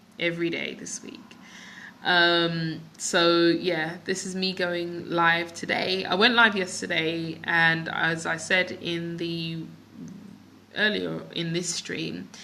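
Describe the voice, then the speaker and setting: A woman with a London accent speaks at a very slow pace in a fairly low pitch, her bright, sharp tone showing big swings in loudness. Audible room echo surrounds her voice. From London, England (west, near Ealing). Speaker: business coach and vlogger. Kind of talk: live stream chat with viewers. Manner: casual, many fillers.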